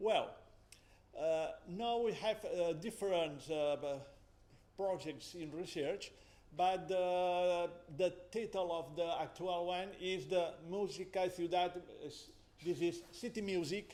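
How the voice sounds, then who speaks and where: In a room with audible echo, a man with a high pitch and a dark, mellow tone speaks at a very slow pace, leaving long, frequent pauses, his intonation fairly even. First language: Catalan or Spanish. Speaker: musicology professor. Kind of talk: conference presentation. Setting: academic symposium. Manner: halting.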